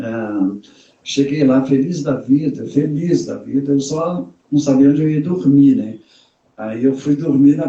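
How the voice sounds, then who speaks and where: A man talks at a fairly slow pace. His voice sits fairly high and sounds somewhat breathy. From Brazil, Minas Gerais (Raposos, near Belo Horizonte). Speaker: bag designer and entrepreneur. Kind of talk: interview on a live stream. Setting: online live stream.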